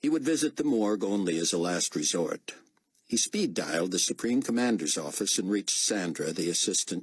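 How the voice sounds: Over a quiet background, the speaker uses a natural reading voice.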